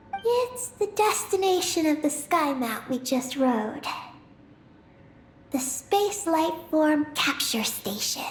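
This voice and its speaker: The pitch is high in this put-on character voice. Delivery runs at a fairly slow pace. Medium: video game. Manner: calm, matter-of-fact.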